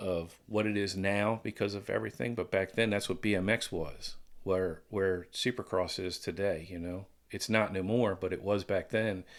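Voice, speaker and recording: In a very clean recording with a silent background, a man speaks at a moderate pace and a fairly low pitch, with fairly even intonation, in a plain, everyday voice. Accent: American. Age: 60s. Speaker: former pro BMX rider. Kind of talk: casual chat.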